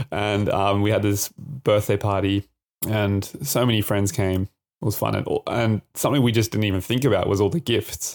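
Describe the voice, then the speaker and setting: Over a very clean recording with a silent background, a man with an Australian accent speaks at a fairly low pitch with fairly even intonation and very even loudness, the sound dry and close with no echo. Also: moderate pace. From Australia, Adelaide. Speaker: podcast co-host. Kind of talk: casual chat.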